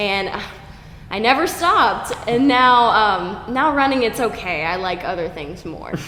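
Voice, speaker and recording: Noticeable background noise and audible room echo around a woman's speech. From Oklahoma. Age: 20s. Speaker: fitness coach. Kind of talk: casual interview.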